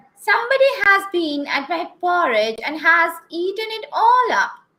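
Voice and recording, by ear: A woman puts on a squeaky character voice pitched extremely high. She talks at a moderate pace.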